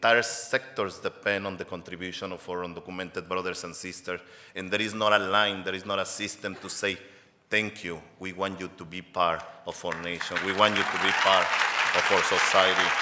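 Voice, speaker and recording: A man's very deep, low voice with a Mexican accent, flat and monotone, fairly quick, with big swings in loudness. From Mexico. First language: Spanish. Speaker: advocacy organization executive director. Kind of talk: award acceptance speech. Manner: impassioned.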